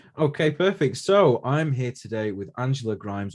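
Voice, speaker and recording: A man with a Manchester accent talks at a medium pitch and a fairly quick pace. His pitch swings very widely over a quiet background. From Manchester, England. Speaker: podcast host. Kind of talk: casual interview.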